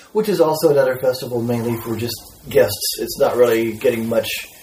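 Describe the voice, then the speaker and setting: A man's medium-pitched voice with an American accent against noticeable background noise. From Texas. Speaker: composer and musician. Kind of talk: casual chat.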